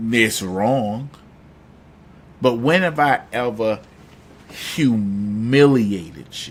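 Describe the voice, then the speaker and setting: A man with a Southern US accent, in an animated tone. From US South. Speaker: live-stream call-in show host. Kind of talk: live stream chat reading comments.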